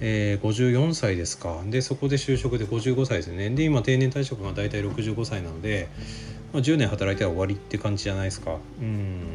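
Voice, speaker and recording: A man with a fairly low pitch speaks with lively intonation. Noticeable background noise runs behind him. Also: moderate pace. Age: 40s. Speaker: physical therapist podcaster. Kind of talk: solo radio-style talk. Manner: casual, many fillers.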